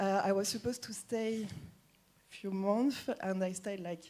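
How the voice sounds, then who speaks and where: With a French accent, a woman speaks at a medium pitch in a dark, mellow tone and fairly even intonation. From France. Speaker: recruiter. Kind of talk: presentation talk.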